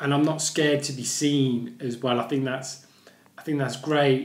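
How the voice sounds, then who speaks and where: Noticeable background noise and audible room echo surround the speaker. A man at medium pitch talks in a monotone, flat intonation. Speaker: vlogger who stammers. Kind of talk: personal vlog. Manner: stammering, with repetitions.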